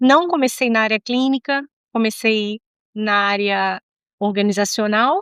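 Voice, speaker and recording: Against a quiet background, a woman with a fairly high pitch and ordinary pitch variation speaks with long, frequent pauses in a dry, close sound with no echo. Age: 60s. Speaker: psychologist. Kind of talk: interview.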